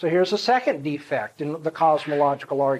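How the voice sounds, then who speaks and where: A man is talking. His pace is fairly quick. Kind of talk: lecture. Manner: fast.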